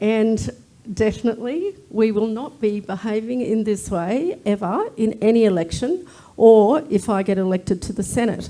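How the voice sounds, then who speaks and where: Speaking with an Australian accent at a moderate pace, a woman has a dark, mellow tone, a fairly high pitch and ordinary pitch variation. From Australia, First Nations. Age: 60s. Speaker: Senate candidate. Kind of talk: political debate. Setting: live debate at a club, streamed online.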